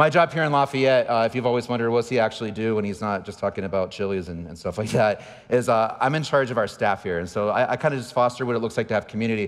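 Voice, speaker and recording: This man talks at a very fast pace with an American accent, medium pitch, ordinary pitch variation and hardly any pauses. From San Diego, California. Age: 40s. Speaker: pastor. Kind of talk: sermon.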